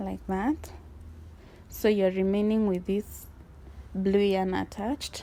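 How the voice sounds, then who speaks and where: A woman speaks with a non-native accent at a very slow pace. Long, frequent pauses break up her speech. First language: not English. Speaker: crochet tutorial creator. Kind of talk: tutorial.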